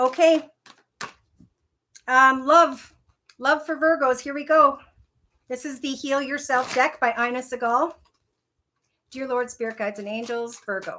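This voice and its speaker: In a Minnesotan accent, a woman speaks in a raised, projected voice with a high pitch and a bright, sharp tone. Her pace is fairly slow, with long, frequent pauses, big swings in loudness and ordinary pitch variation. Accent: Minnesota. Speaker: tarot reader. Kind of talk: tarot reading.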